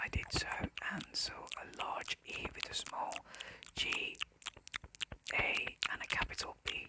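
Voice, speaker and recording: A whisper is heard against noticeable background noise. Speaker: ASMR creator. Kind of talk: audiobook-style reading of classic fiction. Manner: soft, whispered.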